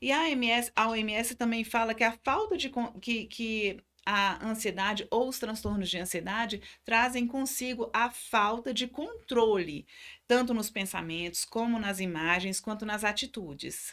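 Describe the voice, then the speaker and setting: Against a silent background in a very clean recording, a woman speaks fairly slowly in a fairly high, bright and sharp voice with ordinary pitch variation. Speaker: psychologist. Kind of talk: lecture.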